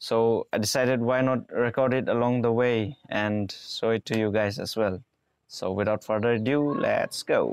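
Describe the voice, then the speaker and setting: At a moderate pace, a man talks with very even loudness in a dry sound with no echo. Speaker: travel vlogger. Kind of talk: casual vlog chat. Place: garden. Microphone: lapel.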